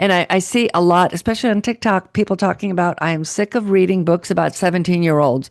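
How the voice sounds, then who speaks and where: In a plain, everyday voice, a woman talks at a moderate pace with medium pitch and ordinary pitch variation, the sound dry and close with no echo against a quiet background. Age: 60s. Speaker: podcast host and author. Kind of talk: interview.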